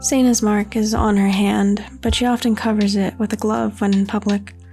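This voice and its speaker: A soft-spoken woman talks at a moderate pace with monotone, flat intonation. Her pitch is medium, and music plays in the background. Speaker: digital artist, writer. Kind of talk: ASMR-style soft-spoken talk over drawing video. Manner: calm, soothing, soft-spoken.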